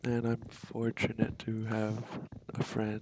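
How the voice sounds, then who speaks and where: This is a man speaking. He is soft-spoken. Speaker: vlogger. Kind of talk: casual monologue. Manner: hesitant, many fillers. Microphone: poor audio quality.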